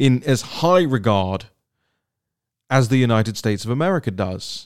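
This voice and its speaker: A man with a British accent, medium in pitch, in an animated tone with ordinary pitch variation at a moderate pace, on a very clean recording with a silent background. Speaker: podcast host. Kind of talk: solo political commentary. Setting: home studio with mixer board and microphone.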